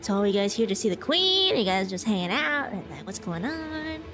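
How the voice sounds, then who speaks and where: A female-sounding, put-on character voice with a fairly high pitch moves at a fairly quick pace. Loud background noise fills the recording. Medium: virtual streamer.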